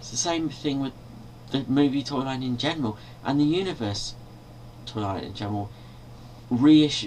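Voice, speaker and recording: Medium pitch from a man with ordinary pitch variation, long, frequent pauses, big swings in loudness and light background noise. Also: moderate pace. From Britain. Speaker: video blogger and toy collector. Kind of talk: angry rant, complaining about toy reissues, swearing. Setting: bedroom, webcam video, filmed at night. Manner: irritated, exasperated, rhetorical questions, rambling. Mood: annoyed, complaining. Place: home room. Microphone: webcam.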